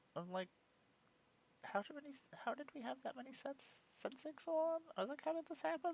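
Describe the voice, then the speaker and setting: Someone shouts at a fairly quick pace, leaving long, frequent pauses. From Japan. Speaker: streamer and puppeteer. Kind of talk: casual live stream chat. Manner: sounds angry or like yelling; animated.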